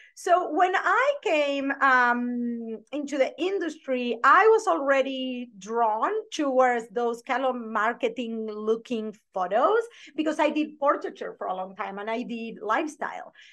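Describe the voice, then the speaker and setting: A strong Argentine accent carries this fairly slow delivery. The pitch swings very widely. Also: woman, high pitch for a woman. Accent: thick Argentine Spanish. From Argentina. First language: Spanish. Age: 40s. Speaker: branding photographer and business coach. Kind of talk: podcast interview.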